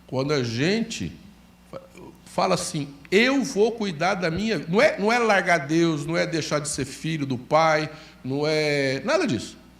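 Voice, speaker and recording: A man talks at a fairly slow pace in a high pitch with lively intonation. Room echo is audible. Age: 60s. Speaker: pastor. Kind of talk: sermon.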